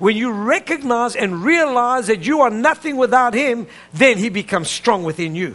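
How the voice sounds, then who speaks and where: This man's voice sits at an extremely high pitch, with an animated tone. He talks at a moderate pace. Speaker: preacher. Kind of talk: sermon. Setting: church with live congregation. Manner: animated, call-and-response preaching; urgent, emphatic, pulpit cadence. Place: church.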